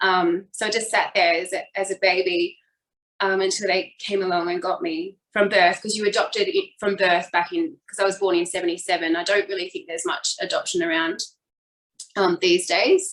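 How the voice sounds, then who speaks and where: Speaking in an Australian accent, a woman holds a medium pitch. Her pace is moderate and her intonation monotone and flat. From Australia, New South Wales. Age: 40s. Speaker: fitness instructor. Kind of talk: personal life story in interview.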